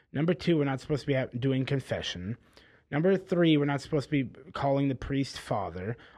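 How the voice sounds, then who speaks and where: Over a quiet background, a man with an ordinary speaking voice talks fairly quickly at a fairly high pitch, his intonation lively. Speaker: documentary maker. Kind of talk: casual interview conversation.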